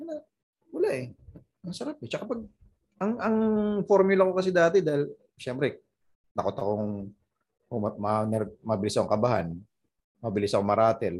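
A man's somewhat breathy, medium-pitched voice at a fairly quick pace, with very wide pitch swings, big swings in loudness and long, frequent pauses. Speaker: stand-up comedian. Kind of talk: casual chat. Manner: animated.

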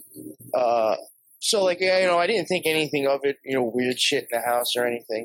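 Lively in intonation and fairly high in pitch, a man speaks with an unremarkable speaking voice. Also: fairly quick pace. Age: 40s. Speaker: podcaster. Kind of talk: casual chat.

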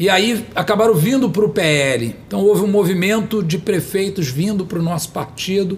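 A man speaks in a high voice with ordinary pitch variation. He keeps a moderate pace with hardly any pauses. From Brazil, São Gonçalo (Rio de Janeiro state). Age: 50s. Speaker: politician. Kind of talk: interview. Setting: studio.

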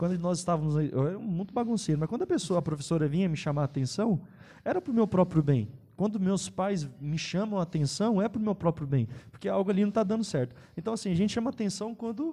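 A man's high, dark, mellow voice at a very fast pace with lively intonation. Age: 20s. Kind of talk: casual chat.

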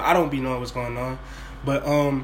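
A man talks at a very fast pace in a medium pitch. Noticeable background noise and audible room echo fill the recording. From New Orleans, Louisiana. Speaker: podcast host. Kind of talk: casual chat. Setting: at home, kitchen table.

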